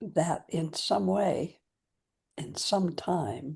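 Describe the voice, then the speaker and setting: A woman talks very slowly with vocal fry and a very deep, low pitch. Her tone is calm, yet her pitch swings very widely. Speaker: meditation guide. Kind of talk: guided meditation. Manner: slow, calm.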